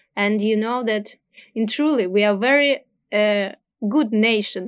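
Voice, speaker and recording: In a Ukrainian accent, the speaker goes at a very slow pace over a quiet background. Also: woman. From Ukraine. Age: 30s. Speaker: refugee. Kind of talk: interview. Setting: video call. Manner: halting.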